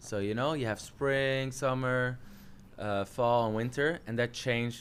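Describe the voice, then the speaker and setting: With a Dutch accent, a man speaks at a moderate pace and a medium pitch. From Netherlands. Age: 30s. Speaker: jiu-jitsu coach. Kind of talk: casual chat.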